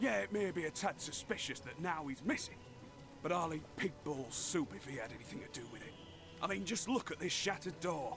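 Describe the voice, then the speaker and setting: In a gruff, put-on character voice, the speaker moves at a fairly quick pace over clear background noise. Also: man. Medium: video game. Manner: gruff, cursing.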